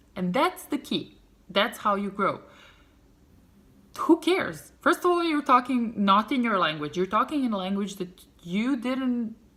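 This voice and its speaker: A woman speaks in a Serbian accent at a fairly slow pace. Her fairly high voice has a bright, sharp tone and very wide pitch swings. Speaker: vlogger. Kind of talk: casual storytelling vlog. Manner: animated.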